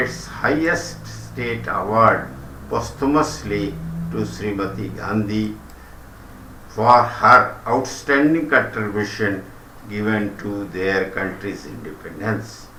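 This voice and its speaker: Speaking very slowly with an Indian accent, a man is heard with audible echo from the room. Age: old. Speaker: retired commentator. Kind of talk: reading aloud. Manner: formal.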